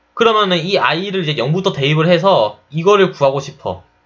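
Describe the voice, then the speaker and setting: A man with vocal fry and very wide pitch swings. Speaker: chemical engineering tutor. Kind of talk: lecture. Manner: fast.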